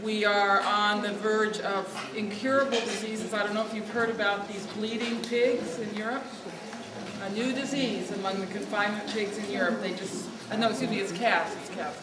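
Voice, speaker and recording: In a room with audible echo and noticeable background noise, a woman speaks with fairly even intonation. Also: fairly high pitch for a woman, fairly quick pace. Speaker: food activist, nonprofit leader. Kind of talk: speech at lobby event. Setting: event room, no microphone. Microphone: no microphone.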